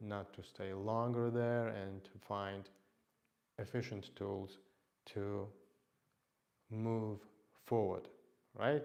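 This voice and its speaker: A man with a non-native accent and fairly low pitch at a very slow pace, monotone and flat, with long, frequent pauses. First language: not English. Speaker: fitness instructor. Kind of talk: live workout stream talk. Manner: halting.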